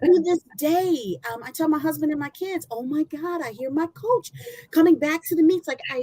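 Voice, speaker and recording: A woman with an American accent speaks at a moderate pace in a high pitch and a dark, mellow tone, with lively intonation and a dry, close sound with no echo. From Michigan. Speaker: former college athlete. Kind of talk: testimony. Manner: loud.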